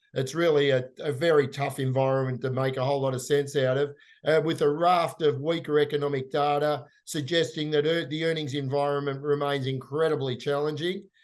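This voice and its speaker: At a moderate pace, a man talks at a fairly high pitch with fairly even intonation. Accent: Australian. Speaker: investment firm managing director. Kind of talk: finance podcast discussion.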